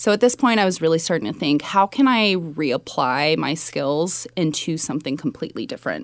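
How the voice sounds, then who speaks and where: Fairly quick and with hardly any pauses, a woman with a Californian accent speaks at a fairly low pitch with very wide pitch swings, on a very clean recording with a silent background. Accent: Californian American. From US West Coast, California Bay Area. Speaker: executive assistant, former journalist. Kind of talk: interview.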